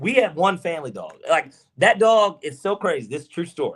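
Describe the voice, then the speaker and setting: A man with an animated tone and a Southern accent. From US South, Georgia. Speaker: podcast co-host. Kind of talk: casual chat.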